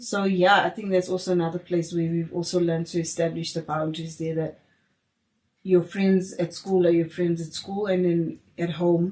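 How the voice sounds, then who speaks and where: A woman's fairly low, somewhat breathy voice, dark and mellow in tone, flat and monotone at a moderate pace. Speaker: podcast host. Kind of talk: casual chat.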